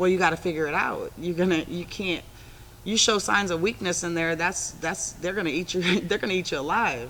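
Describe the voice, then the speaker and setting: Fairly low in pitch, a woman speaks with an American accent. She moves at a fairly quick pace with ordinary pitch variation. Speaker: former prisoner. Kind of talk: interview. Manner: assertive.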